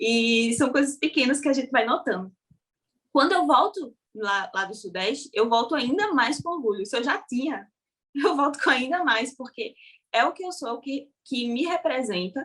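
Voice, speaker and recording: Her pitch high and swinging very widely, a woman talks at a moderate pace. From Brazil, Paraíba (Northeast). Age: young. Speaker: social media content creator. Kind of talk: interview conversation. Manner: casual.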